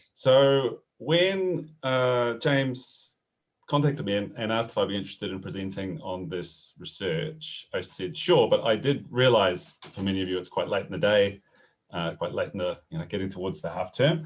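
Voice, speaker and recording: At a moderate pace, the speaker's pitch swings very widely in a New Zealand accent. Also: man, medium pitch for a man. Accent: New Zealand, noticeable. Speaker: professor. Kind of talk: webinar presentation. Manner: hesitant, many fillers.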